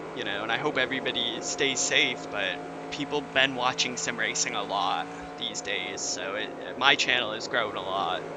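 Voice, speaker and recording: An American accent with audible room echo and noticeable background noise. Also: man. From California. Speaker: sim racing streamer. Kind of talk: live stream commentary. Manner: casual, rambling with fillers.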